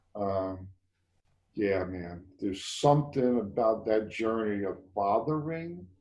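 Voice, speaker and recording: Amid audible room echo, a man with an American accent and a fairly low voice speaks very slowly with lively intonation. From US Northeast, Bronx, New York City. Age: 50s. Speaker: men's group facilitator. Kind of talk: casual conversation. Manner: halting.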